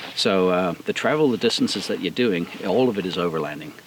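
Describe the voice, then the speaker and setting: A man with a South African accent talks at a moderate pace with ordinary pitch variation, against noticeable background noise. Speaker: off-road vehicle builder. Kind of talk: outdoor interview. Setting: outdoors. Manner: hesitant, many fillers.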